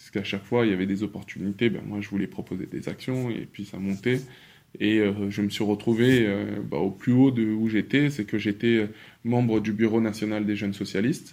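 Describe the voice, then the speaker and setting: Against a silent background in a very clean recording, a man with a plain, everyday voice talks at a moderate pace in a fairly low pitch, his intonation fairly even but his loudness swinging widely. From Paris, France. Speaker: dancer and activist. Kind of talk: interview conversation.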